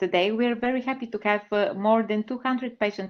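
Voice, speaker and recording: The speaker has a Bulgarian accent, a fairly quick pace and ordinary pitch variation. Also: woman. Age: 30s. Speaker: patient advocate. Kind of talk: presentation. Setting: webinar.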